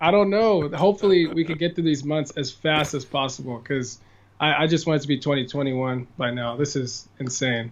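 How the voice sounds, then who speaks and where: This man talks fairly quickly in a normal speaking voice with an American accent, a fairly high pitch and ordinary pitch variation. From California. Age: 20s. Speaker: musician. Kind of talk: podcast interview answer.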